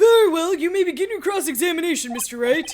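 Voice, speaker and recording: A put-on character voice at an extremely high pitch and a very fast pace. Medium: game stream. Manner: formal, mild.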